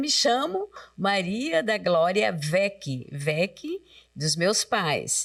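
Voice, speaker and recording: A woman speaks with very wide swings in pitch while her loudness stays very even. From Brusque, Santa Catarina, Brazil. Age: 70s. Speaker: retired teacher and catechist. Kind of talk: casual interview.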